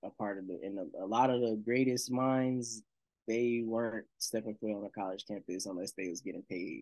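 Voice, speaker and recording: A man with an American accent speaks at a fairly low pitch. His pace is moderate and his intonation fairly even. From North Carolina, Shelby (US South). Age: 20s. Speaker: musician. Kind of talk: casual chat.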